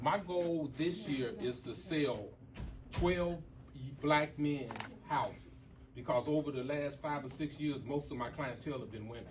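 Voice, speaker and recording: A man with an American accent and a fairly high pitch, slow-ish pace, long and frequent pauses, ordinary pitch variation, audible room echo and noticeable background noise. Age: 60s. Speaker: real estate broker. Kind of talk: seminar talk.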